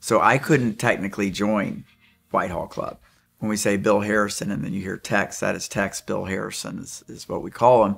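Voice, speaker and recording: With music in the background, a man talks at a moderate pace and a fairly low pitch, his loudness swinging widely. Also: ordinary pitch variation. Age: 50s. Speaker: club member. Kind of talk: interview testimonial.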